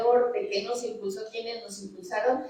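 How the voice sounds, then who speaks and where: This woman speaks at a fairly high pitch with ordinary pitch variation, and the room echo is audible. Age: 60s. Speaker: scientist. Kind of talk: panel talk. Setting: auditorium with audience.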